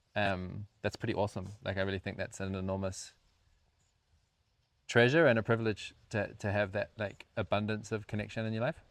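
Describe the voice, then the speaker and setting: Speaking fairly quickly with a New Zealand accent, a man uses fairly low pitch and fairly even intonation in a dry, close recording with no echo. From rural New Zealand. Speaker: co-founder of a community house, podcast co-host. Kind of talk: casual chat.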